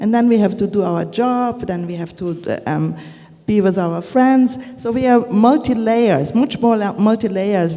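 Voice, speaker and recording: Noticeable background noise and audible room echo around a woman's fairly high voice at a fairly slow pace. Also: ordinary pitch variation. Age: 60s. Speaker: media conference founder. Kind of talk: on-stage interview. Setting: stage with audience.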